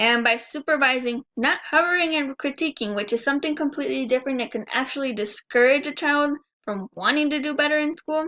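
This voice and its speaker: A woman with a high pitch, bright, sharp tone, raised, projected voice, fairly quick pace, hardly any pauses and ordinary pitch variation, dry, close sound with no echo. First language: Spanish. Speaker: student. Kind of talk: class presentation.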